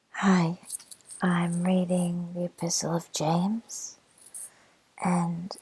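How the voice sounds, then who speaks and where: Against noticeable background noise, the speaker whispers in a soft-spoken way. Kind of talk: scripture reading. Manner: softly whispered.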